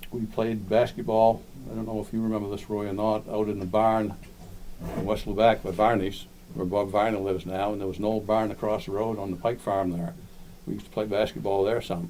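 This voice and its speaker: The speaker has a Maine accent. Intonation stays fairly even. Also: man, fairly low pitch for a man, fairly quick pace. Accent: Downeast Maine. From Maine (Lubec), moved from Florida as small child. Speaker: local historian speaker. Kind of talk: community talk, reminiscence. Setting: library talk with audience.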